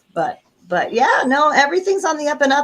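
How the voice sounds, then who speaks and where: A woman speaks at a fairly quick pace with ordinary pitch variation. It is a normal speaking voice. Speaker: voice actress. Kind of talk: interview.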